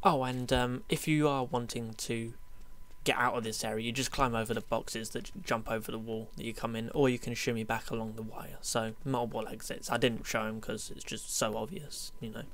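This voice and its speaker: Audible room echo surrounds a man talking at a fairly quick pace. His pitch is medium, with ordinary variation. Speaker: gaming YouTuber. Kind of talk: gameplay commentary. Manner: fast; casual, many fillers.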